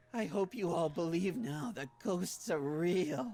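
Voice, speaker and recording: A put-on character voice comes through raspy and at a fairly slow pace. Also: man, high pitch for a man. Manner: menacing.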